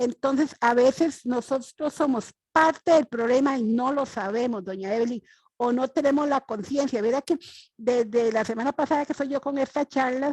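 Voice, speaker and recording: In a Costa Rican accent, a woman speaks at a high pitch with ordinary pitch variation. Her moderate pace comes through in a dry, close sound with no echo. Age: 60s. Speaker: audience member asking a question. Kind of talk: Q&A question at a webinar. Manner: halting, many fillers.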